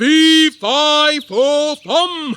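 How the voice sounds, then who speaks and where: Bellowing in a put-on character voice, a man speaks at an extremely high pitch. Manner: roaring.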